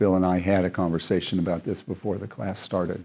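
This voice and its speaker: A man speaks with a very deep, low pitch and a dark, mellow tone. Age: 70s. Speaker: seminar leader, physician. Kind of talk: lecture. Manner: conversational.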